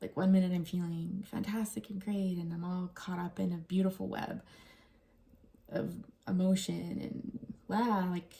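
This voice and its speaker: A soft-spoken woman with a fairly low pitch. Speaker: tarot reader. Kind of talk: tarot reading video. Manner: quiet.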